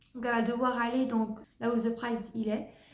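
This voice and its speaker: Audible room echo surrounds a woman's voice. She talks at a fairly slow pace and a fairly high pitch. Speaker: book reviewer. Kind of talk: casual book review vlog.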